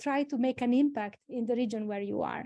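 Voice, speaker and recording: Over a quiet background, a woman with an Italian accent talks in a high pitch with a dark, mellow tone and ordinary pitch variation. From Italy, Emilia-Romagna. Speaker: engineering dean or academic leader. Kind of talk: webinar presentation. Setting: online webinar. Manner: halting, with many fillers.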